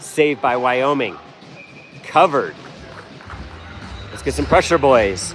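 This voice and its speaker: A man speaks at medium pitch with lively intonation and a fairly slow pace. He leaves long, frequent pauses while music plays in the background. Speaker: amateur hockey play-by-play commentator. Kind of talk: live commentary. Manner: casual, fan-like.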